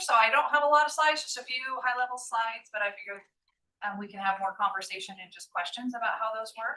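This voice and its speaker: Speaking very fast, a woman uses a high pitch, a bright, sharp tone and lively intonation. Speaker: transportation planning supervisor. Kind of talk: presentation at public committee meeting. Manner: loud.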